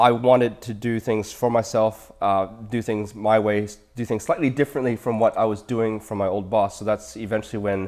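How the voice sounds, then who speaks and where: A man with a Canadian accent uses a normal speaking voice, fairly low in pitch and fairly even in intonation. He goes at a fairly quick pace on a very clean recording with a silent background. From Canada. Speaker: dentist and practice owner. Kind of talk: interview.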